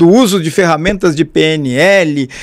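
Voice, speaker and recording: On a very clean recording with a silent background, a man speaks in an animated tone at a fairly slow pace. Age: 60s. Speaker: podcast host. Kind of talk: casual lecture.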